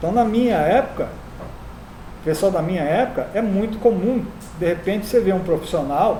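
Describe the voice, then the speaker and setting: Over noticeable background noise, the speaker talks at a moderate pace with long, frequent pauses. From Rio de Janeiro, Brazil. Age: 60s. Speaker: teacher. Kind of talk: lecture.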